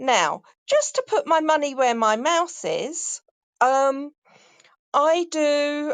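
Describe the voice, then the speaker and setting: Against a quiet background, a woman speaks at a very slow pace with lively intonation. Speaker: voiceover artist. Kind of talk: casual chat. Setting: audio chat room.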